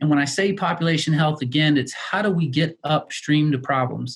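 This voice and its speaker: A man speaks in a fairly high, somewhat breathy voice. His intonation stays fairly even. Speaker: healthcare executive. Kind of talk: presentation with slides. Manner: fast.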